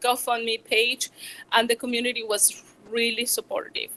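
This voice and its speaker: A woman speaks in a strong Venezuelan accent with a fairly high pitch. Her tone is bright and sharp, her intonation fairly even. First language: Spanish. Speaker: small business owner, chocolatier. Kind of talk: public talk. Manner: halting, many fillers.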